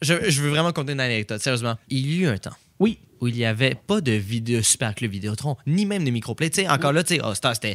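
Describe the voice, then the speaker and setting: A man's medium-pitched voice at a very fast pace with lively intonation, on a very clean recording with a silent background. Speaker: podcast co-host. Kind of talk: casual chat.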